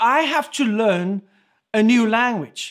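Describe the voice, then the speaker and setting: A man's extremely high-pitched voice with ordinary pitch variation and a South African accent, on a very clean recording with a silent background. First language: Afrikaans. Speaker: pastor. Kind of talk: sermon.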